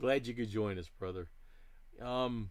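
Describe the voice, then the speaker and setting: A man with a fairly low voice is heard with audible room echo. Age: 60s. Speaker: diecast model hobbyist streamer. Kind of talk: live stream chat. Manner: casual, conversational.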